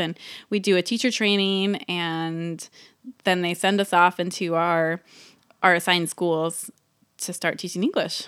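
On a very clean recording with a silent background, a woman speaks at medium pitch and a moderate pace in an ordinary speaking voice. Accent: American. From US West Coast, San Francisco East Bay. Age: 30s. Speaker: mother sharing personal story. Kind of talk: personal testimony.

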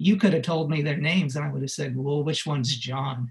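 A man with an American accent, fairly high pitch, a somewhat breathy sound and a fairly quick pace. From Los Angeles, US. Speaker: musician. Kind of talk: interview.

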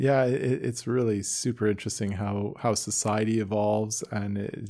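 A man with a Canadian accent speaks at a moderate pace, his dark, mellow tone carried by fairly even intonation. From Canada, Toronto area (Newmarket). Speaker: podcast host, doctor. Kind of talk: interview conversation.

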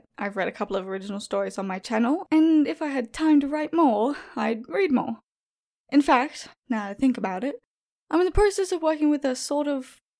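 In an Australian accent, a woman speaks at a high pitch with lively intonation. Her pace is fairly quick. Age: young. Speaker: horror story narrator. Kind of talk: reading prepared answers.

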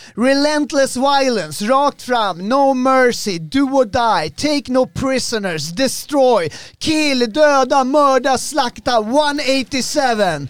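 A man speaks with an extremely high pitch, an animated tone and lively intonation. The recording is very clean, with a silent background. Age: 40s. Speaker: podcast host. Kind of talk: casual chat. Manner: animated, hype.

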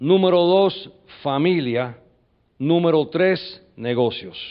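With an animated tone, a man speaks using ordinary pitch variation. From US, New York. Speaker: business leader and military veteran. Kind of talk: motivational talk. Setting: stage with audience.

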